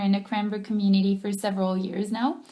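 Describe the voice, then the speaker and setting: A somewhat breathy woman's voice with a French accent. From France. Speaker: personal trainer. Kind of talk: teleclass self-introduction. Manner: hesitant, frequent ums.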